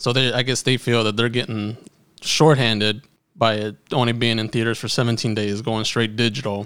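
At a moderate pace, a man of medium pitch speaks in a monotone with flat intonation. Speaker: podcast co-host. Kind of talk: casual chat. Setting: studio, same room as co-hosts.

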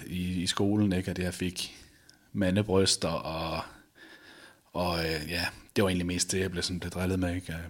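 Keeping a moderate pace, a man speaks with a very deep, low pitch. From Denmark, Viborg (Jutland). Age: 30s. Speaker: balcony fitter sharing weight-loss story. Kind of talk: interview testimony. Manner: halting, many fillers.

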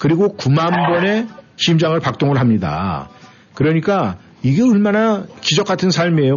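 This man's pitch is high, and he talks at a moderate pace with lively intonation. Noticeable background noise runs beneath his voice. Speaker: radio host. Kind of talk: live radio show chat. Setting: radio studio.

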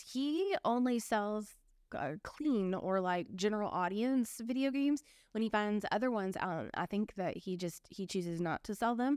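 Heard in a very clean recording with a silent background, a woman at medium pitch uses a normal speaking voice at a moderate pace with lively intonation. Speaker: eBay reseller podcast co-host. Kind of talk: casual chat.

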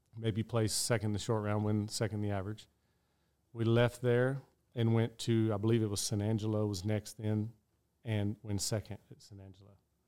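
A man with a West Texas accent, fairly low-pitched, dark and mellow in tone, flat and monotone in intonation, on a very clean recording with a silent background. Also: big swings in loudness. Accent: West Texas drawl. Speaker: professional rodeo roper. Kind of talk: interview storytelling.

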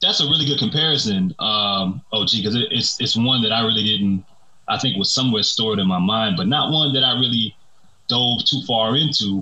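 Against noticeable background noise, a man talks at a fairly quick pace and medium pitch, keeping very even loudness and ordinary pitch variation. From New Orleans. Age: 30s. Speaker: media commentator. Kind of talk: casual chat.

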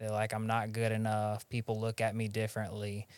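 Medium-pitched man with a Southern US accent at a moderate pace, on a very clean recording with a silent background. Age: 30s. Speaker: podcast host in recovery. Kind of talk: casual interview chat.

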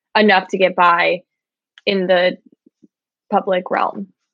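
At a fairly slow pace, a woman speaks with a Midwestern American accent. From Michigan, small town. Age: 20s. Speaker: podcast co-host. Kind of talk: casual chat. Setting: video call.

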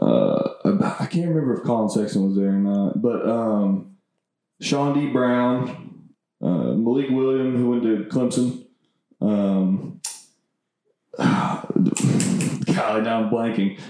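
At a very slow pace, a man talks with lively intonation and very even loudness. His medium-pitched voice has a dark, mellow tone. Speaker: college basketball player and podcast host. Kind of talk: casual chat. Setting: home living room studio.

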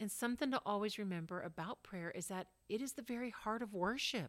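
This is a normal speaking voice with lively intonation. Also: woman. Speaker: podcast co-host. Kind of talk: casual chat.

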